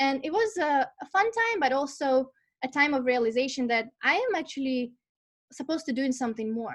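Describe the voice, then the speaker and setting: Speaking in a Russian accent, the voice moves at a moderate pace with lively intonation. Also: woman. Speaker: life purpose and career coach. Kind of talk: online masterclass talk. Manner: animated, conversational with fillers.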